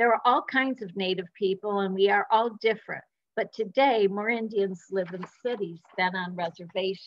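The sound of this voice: With a quiet background, someone reads in an unforced voice.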